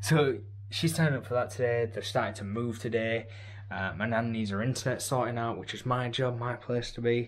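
With an English accent, a man talks at a fairly quick pace in a somewhat breathy voice with fairly even intonation. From England. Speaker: vlogger. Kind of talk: casual vlog talk. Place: home room. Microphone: phone near.

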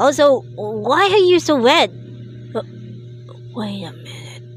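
With clear background noise behind her, a woman uses a put-on character voice at a fairly slow pace. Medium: dub. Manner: worried, exasperated.

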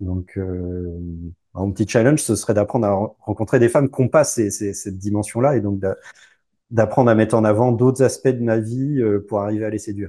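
A man's fairly low, dark, mellow voice at a moderate pace with fairly even intonation, against a quiet background. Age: 40s. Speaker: divorced father; interview guest. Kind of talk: casual interview. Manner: halting. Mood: relaxed, smiling. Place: home room. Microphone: lapel.

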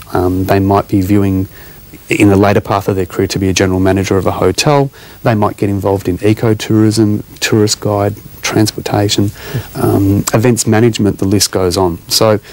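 A man's fairly low voice at a moderate pace, with a dry sound and no echo. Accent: Australian. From Australia. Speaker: hospitality academy CEO. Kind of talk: TV interview. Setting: TV studio. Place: studio. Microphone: lapel.

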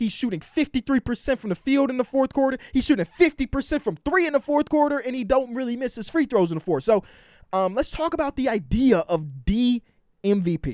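Against a quiet background, a man with an American accent speaks at an extremely high pitch, his intonation lively. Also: moderate pace, dry sound with no echo. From US, Chicago area. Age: 20s. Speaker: sports YouTuber. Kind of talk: casual vlog commentary. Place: home room. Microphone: handheld.

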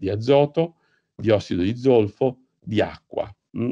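The sound is dry and close, with no echo. The tone is dark and mellow. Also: man. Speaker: professor giving a lecture on climate physics. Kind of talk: lecture. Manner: halting, many fillers and repetitions.

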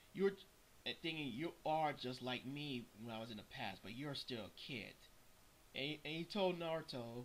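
A man at a moderate pace amid light background noise. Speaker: anime fan vlogger. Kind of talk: casual commentary on a manga chapter. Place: home room. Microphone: webcam.

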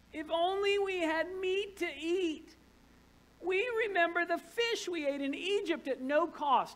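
A woman's put-on character voice, whiny and extremely high-pitched, at a fairly slow pace. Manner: whiny, complaining.

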